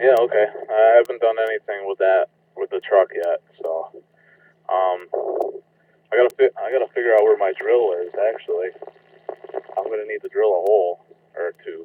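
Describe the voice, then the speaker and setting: Man at a moderate pace, long and frequent pauses, dry sound with no echo. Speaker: radio net check-in station. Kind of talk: casual radio conversation. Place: street. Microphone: two way radio.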